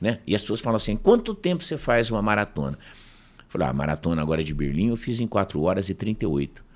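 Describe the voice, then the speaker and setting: The pace is very fast, and the pitch swings very widely. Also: man, fairly low pitch for a man. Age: 60s. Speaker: professor and speaker. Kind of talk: casual interview storytelling.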